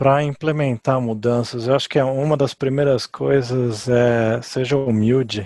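At a fairly slow pace and with hardly any pauses, a man speaks in a dark, mellow tone of medium pitch, his intonation fairly even and his loudness very even. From Brazil, São Paulo. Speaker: leadership author and speaker. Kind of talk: interview.

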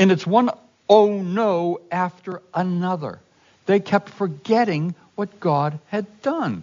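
Pitched high for a man, this male voice moves at a very slow pace with ordinary pitch variation. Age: old. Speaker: fill-in pastor. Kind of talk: sermon.

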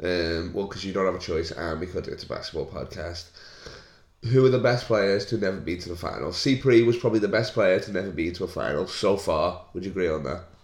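Talking at a very fast pace, a man with a fairly low, somewhat breathy voice uses ordinary pitch variation. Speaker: comedian. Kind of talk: casual banter. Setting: podcast recorded at home. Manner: joking, laughing.

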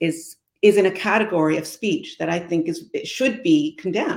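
A woman with a Canadian accent, lively intonation and a moderate pace. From Canada. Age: 60s. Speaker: former senator and community advocate. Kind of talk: interview.

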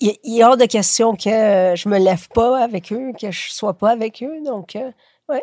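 The voice has a dark, mellow tone, and the sound is dry and close with no echo. It moves at a fairly slow pace, with big swings in loudness and ordinary pitch variation. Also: woman, fairly high pitch for a woman. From Quebec, moved from Chile at age 7. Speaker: writer. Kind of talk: casual interview. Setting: at home, lying in bed.

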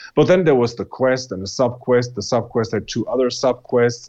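A very fast-talking man with a German accent and medium pitch. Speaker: podcast co-host. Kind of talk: casual chat.

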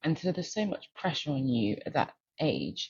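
A woman speaks with a very deep, low pitch and vocal fry. Her intonation is lively. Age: 30s. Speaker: venture capital investor, former doctor. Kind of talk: interview.

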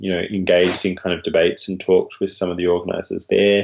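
A man speaks with an Australian accent. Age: 30s. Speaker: academic author. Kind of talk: interview.

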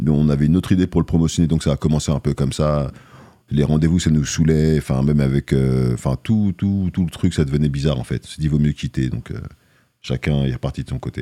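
With a very deep, low pitch and fairly even intonation, a man talks at a fairly quick pace in a dry, close sound with no echo. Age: 40s. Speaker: rapper. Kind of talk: casual interview. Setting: studio.

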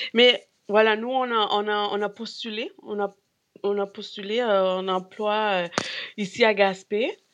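Using ordinary pitch variation, a woman with a fairly high pitch speaks at a very slow pace. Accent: Spanish. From Peru. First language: Spanish (speaking French). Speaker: grocery store co-owner. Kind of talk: casual chat. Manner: halting.

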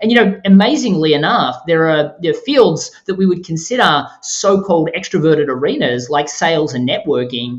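Against noticeable background noise, a man with an Australian accent talks at a moderate pace and a high pitch, with lively intonation and hardly any pauses. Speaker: author and podcast host. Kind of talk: interview.

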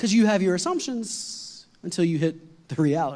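A man with an animated tone and a fairly quick pace. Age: 40s. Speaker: lead pastor. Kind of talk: sermon. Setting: church with congregation.

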